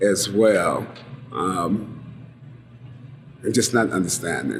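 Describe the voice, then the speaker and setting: A man speaks at a fairly low pitch with fairly even intonation. Audible room echo and noticeable background noise surround him. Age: 60s. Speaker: oral history interviewee. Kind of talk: oral history interview. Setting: bar. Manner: halting, many fillers.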